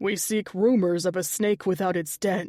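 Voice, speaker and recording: A woman's growling, put-on character voice. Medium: read story. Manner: stern.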